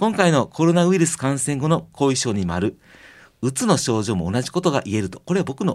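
In a Kansai accent, a man with a medium pitch and gentle tone speaks at a fairly quick pace with very wide pitch swings, recorded very cleanly against a silent background. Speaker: kampo pharmacist and radio host. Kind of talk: radio health talk. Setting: radio studio.

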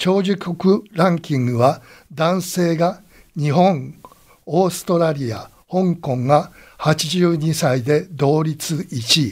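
A man speaks at a fairly high pitch with ordinary pitch variation. His pace is very slow. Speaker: radio college host and commentator. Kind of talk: radio commentary closing remarks.

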